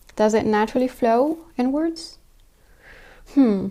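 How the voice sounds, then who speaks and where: With a French accent, a woman speaks at a moderate pace in a dark, mellow tone with ordinary pitch variation. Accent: French accent, may say words weirdly. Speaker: sewing YouTuber. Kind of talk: tutorial. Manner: thinking aloud.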